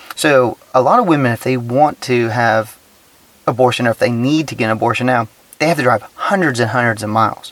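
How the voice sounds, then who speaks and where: Against noticeable background noise, a man speaks at a moderate pace and medium pitch, the sound dry and close with no echo. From Texas. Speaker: podcast host. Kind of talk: casual solo commentary. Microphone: cheap recording gear.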